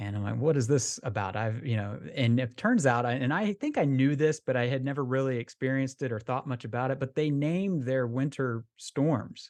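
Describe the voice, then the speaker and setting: A man with an ordinary speaking voice and an American accent talks at a medium pitch with ordinary pitch variation. He moves at a fairly quick pace with hardly any pauses against a quiet background. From Florida, US. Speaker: golf travel podcast co-host. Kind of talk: casual chat.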